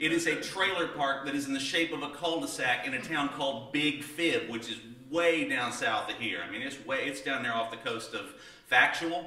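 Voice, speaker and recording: A man speaks at a moderate pace in a fairly high pitch, with audible room echo. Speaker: storyteller. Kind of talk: tall-tale storytelling to an audience. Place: stage.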